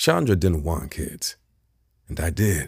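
A man with a very deep, low pitch speaks in a dark, mellow tone that is somewhat breathy. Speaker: audiobook narrator. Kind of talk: literary audiobook reading, first-person fiction narration with character dialogue. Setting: unmastered audiobook sample recording. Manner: emotionally restrained, slow and measured, with a shaky, stunned tone in the dialogue.

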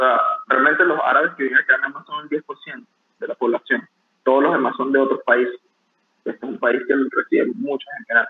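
A man's loudness swings in big jumps as he talks at a fairly quick pace. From Venezuela. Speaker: barista. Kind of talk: interview.

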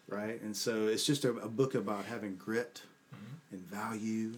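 Noticeable background noise is present as a man speaks with a fairly low pitch. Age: 50s. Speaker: leadership coach. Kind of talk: casual interview.

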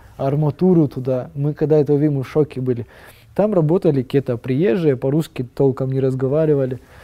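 Very fast speech from a man, showing ordinary pitch variation. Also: fairly high pitch for a man. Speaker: tower restoration project leader. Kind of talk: casual chat.

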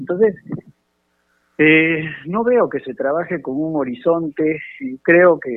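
A man with a fairly high pitch and ordinary pitch variation talks at a fairly slow pace. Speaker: congressman. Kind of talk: radio interview. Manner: halting.

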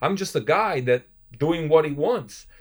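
With an Italian accent, a man talks at a moderate pace with ordinary pitch variation. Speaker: professional basketball player and event entrepreneur. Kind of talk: casual interview. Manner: halting, with frequent repetitions.

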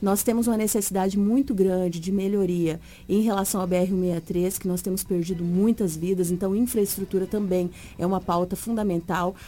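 Her voice has a dark, mellow tone and medium pitch as the woman speaks at a moderate pace with fairly even intonation. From Mato Grosso, Brazil. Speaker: politician, teacher. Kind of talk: political interview.

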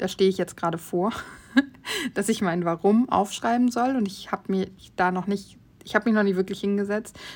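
On a very clean recording with a silent background, a woman of medium pitch speaks at a fairly quick pace with fairly even intonation and long, frequent pauses. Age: 30s. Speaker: podcast host. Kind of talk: casual monologue.

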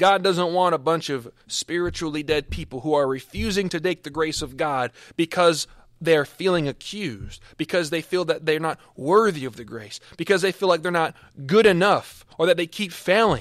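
The recording is very clean, with a silent background. A man with a high pitch speaks at a moderate pace with ordinary pitch variation. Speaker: preacher. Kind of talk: sermon. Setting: podcast recording, no live congregation. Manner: animated, fervent, preaching with rising intensity.

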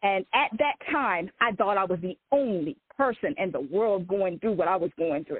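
This woman has a plain, everyday voice and an American accent. She talks at a moderate pace with lively intonation and hardly any pauses. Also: medium pitch for a woman. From Eastern Shore of Maryland (Salisbury). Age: 40s. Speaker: author. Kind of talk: interview, personal testimony.

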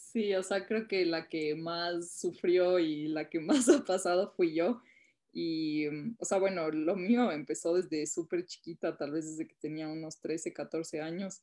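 Woman's fairly low voice with a dark, mellow tone, ordinary pitch variation and a fairly slow pace, over a quiet background. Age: 20s. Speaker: entrepreneur. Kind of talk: interview.

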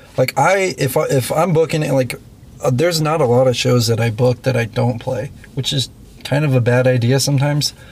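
A man speaks at medium pitch and a fairly quick pace, with a normal speaking voice. His pitch varies in an ordinary way and his loudness stays very even. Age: 20s. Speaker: punk musician and show promoter. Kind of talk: casual chat. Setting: in a parked tour van.

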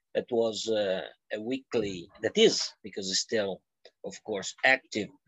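A man speaks at a very slow pace. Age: 50s. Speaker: journalist and geopolitical analyst. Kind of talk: interview. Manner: halting.

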